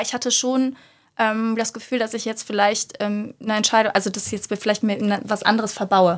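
A woman's fairly high, monotone voice at a fairly quick pace, on a very clean recording with a silent background. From Germany, Cologne. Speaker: yoga teacher and lawyer. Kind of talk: interview.

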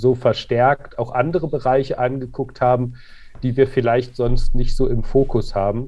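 A man's monotone voice with flat intonation. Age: 40s. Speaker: clothing company co-founder. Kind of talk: interview. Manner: hesitant, many fillers.

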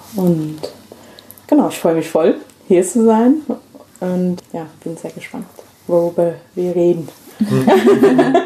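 A woman with an English accent, fairly low pitch and lively intonation, at a very slow pace with long, frequent pauses, over noticeable background noise. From England, London. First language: English (speaking German). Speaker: activist and migration researcher. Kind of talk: casual chat. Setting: at home on a sofa.

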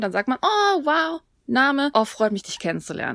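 A plain, everyday voice with lively intonation speaks at a moderate pace, the sound dry and close with no echo. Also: woman. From Germany. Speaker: podcast co-host, Korean language teacher. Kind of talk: language tutorial.

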